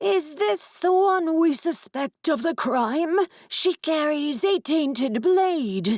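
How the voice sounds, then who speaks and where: In a put-on character voice, the speaker talks very slowly at a high pitch. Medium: read story.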